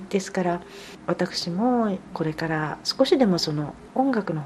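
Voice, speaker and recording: The speaker moves at a fairly slow pace with lively intonation against noticeable background noise. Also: woman. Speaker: pianist. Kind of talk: interview. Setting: at home.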